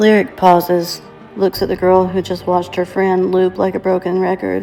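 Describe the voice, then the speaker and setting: A woman talks fairly slowly at a medium pitch in a flat monotone. Music plays in the background. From Tennessee. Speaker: narrator. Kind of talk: audiobook-style story narration.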